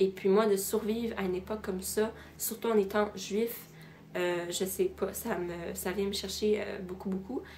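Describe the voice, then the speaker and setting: Against noticeable background noise, a woman with a medium pitch speaks at a moderate pace in a monotone, flat intonation. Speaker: student. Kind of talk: casual talk to camera, book recommendations.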